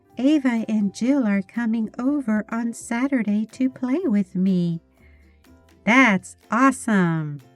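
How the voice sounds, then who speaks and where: With an American accent, a woman speaks at a very slow pace, fairly high in pitch with lively intonation. Music plays in the background, and the sound is dry and close with no echo. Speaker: English teacher. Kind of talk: animation story for English learners. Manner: slow, clear.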